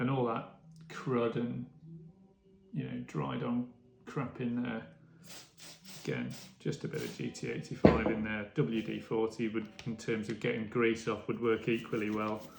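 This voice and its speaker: With music in the background, a man speaks with long, frequent pauses. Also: medium pitch for a man, ordinary pitch variation, moderate pace. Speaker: bike restoration hobbyist. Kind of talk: tutorial. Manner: casual, hesitant with fillers.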